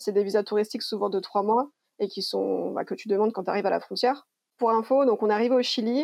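Against a quiet background, a woman talks at a fairly quick pace. Her voice sits fairly high, with a dark, mellow tone. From France, Lyon. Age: 30s. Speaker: traveller. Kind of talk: interview.

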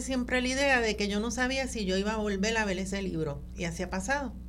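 At a moderate pace, a plain, everyday voice talks with fairly even intonation. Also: woman. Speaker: genealogist. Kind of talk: radio interview.

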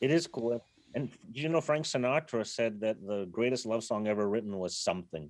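A man talks in a plain, everyday voice at a medium pitch. His pace is fairly quick and his intonation lively. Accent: American. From Berkeley, California. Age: 50s. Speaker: rock bass player. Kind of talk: casual interview. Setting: video call from a car.

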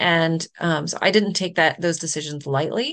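A woman's fairly slow delivery with ordinary pitch variation and an American accent. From US South, Charlotte, North Carolina. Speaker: nonprofit and impact advisory founder. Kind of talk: interview conversation. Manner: laughs often.

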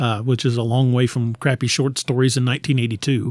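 In an American accent, a man with a normal speaking voice talks at a fairly quick pace and medium pitch, the sound dry and close with no echo. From Missouri, Lebanon area (US Midwest). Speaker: author. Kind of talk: casual interview.

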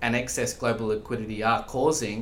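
A man with an Australian accent speaks at a fairly quick pace and medium pitch. Audible room echo surrounds his voice. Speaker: investment specialist. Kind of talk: podcast interview.

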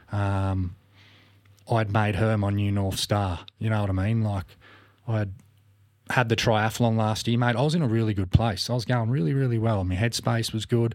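A fairly low-pitched man with an Australian accent, at a moderate pace, with long, frequent pauses and fairly even intonation, on a very clean recording with a silent background. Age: 40s. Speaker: podcast guest. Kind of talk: casual chat. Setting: studio.

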